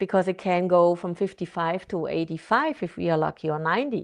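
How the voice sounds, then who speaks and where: In a non-native accent, a woman with a fairly low pitch speaks at a moderate pace over a quiet background. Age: 50s. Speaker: therapist and author. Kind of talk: interview conversation. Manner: halting, self-correcting.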